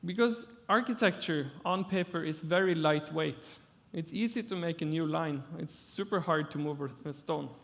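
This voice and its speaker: At a moderate pace, a man with a Norwegian accent talks in a high voice with ordinary pitch variation. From Norway. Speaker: architect. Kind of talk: lecture. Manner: halting.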